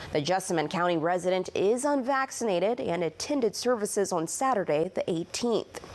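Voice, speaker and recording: This is an ordinary speaking voice with an American accent and lively intonation. Loudness stays very even, with hardly any pauses. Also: woman, medium pitch for a woman. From Illinois, Champaign. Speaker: TV news reporter. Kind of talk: news reporting.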